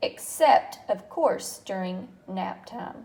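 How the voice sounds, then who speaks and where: In a put-on character voice, a woman speaks sing-song and high-pitched at a very slow pace. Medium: read story. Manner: chirpy, sing-song, enthusiastic.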